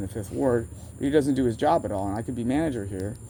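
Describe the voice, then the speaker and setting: The voice has a dark, mellow tone and lively intonation, delivered at a very fast pace. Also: man. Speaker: vlogger. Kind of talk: casual rambling monologue. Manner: halting, self-interrupting.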